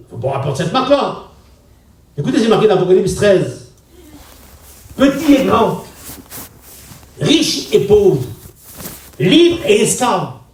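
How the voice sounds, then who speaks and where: A man with a high pitch talks at a fairly slow pace with long, frequent pauses, very wide pitch swings and big swings in loudness, amid audible room echo and noticeable background noise. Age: 60s. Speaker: pastor. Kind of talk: sermon. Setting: church gathering with congregation. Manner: conversational, directly addressing audience.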